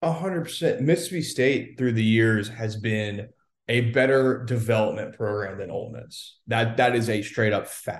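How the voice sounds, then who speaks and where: A man talks at a fairly slow pace in a somewhat breathy voice of medium pitch, with ordinary pitch variation. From Louisiana. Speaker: football correspondent, former recruiting staffer. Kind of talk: casual sports chat.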